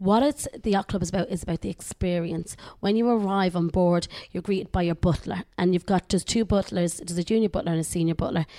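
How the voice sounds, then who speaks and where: A woman with an Irish accent speaks at a very fast pace in a fairly low pitch with a dark, mellow tone and ordinary pitch variation. The recording is very clean, with a silent background. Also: dry, close sound with no echo. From Ireland. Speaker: cruise line sales executive. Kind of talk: interview. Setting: studio.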